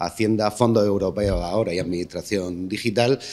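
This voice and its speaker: Fairly low-pitched, a man speaks at a fairly quick pace. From Lorca, Murcia, Spain; Murcia, Spain. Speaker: foundation director. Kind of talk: press conference speech. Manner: halting. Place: hall. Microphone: podium.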